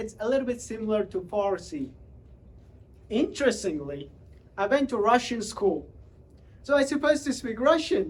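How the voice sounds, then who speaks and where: With a Central Asian accent, a man speaks at a moderate pace in an extremely high pitch, making very wide pitch swings and long, frequent pauses. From Uzbekistan. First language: Tajik. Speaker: public speaker. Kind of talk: motivational talk.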